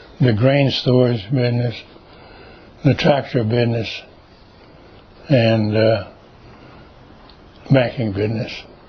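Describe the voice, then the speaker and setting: With an American accent, a man speaks at a very slow pace and medium pitch, with fairly even intonation, long, frequent pauses and audible room echo. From Texas, Georgetown. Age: 80s+. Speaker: World War Two veteran. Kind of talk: oral history interview. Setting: at his home. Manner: halting.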